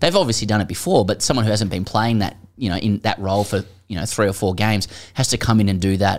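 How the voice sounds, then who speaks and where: A man with an Australian accent at a very fast pace, fairly low in pitch, with fairly even intonation. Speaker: cricket podcast co-host. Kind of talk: casual chat.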